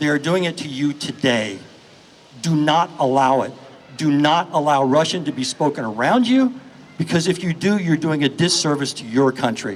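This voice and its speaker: A man with an American accent speaks at a moderate pace, his pitch fairly high and his intonation lively. Noticeable background noise sits behind him. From United States. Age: 60s. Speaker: charity founder and activist. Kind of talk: speech at a rally. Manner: impassioned.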